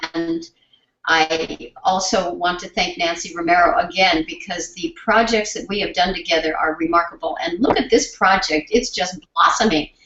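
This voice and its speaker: Here is a woman with an ordinary speaking voice at medium pitch. She moves at a moderate pace with ordinary pitch variation. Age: 60s. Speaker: sign language researcher and symposium host. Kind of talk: conference presentation closing remarks. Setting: symposium with live audience and interpreters.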